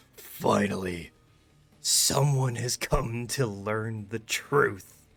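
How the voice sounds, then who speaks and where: A booming put-on character voice from a man, medium in pitch, with ordinary pitch variation and a very slow pace. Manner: ominous, grand.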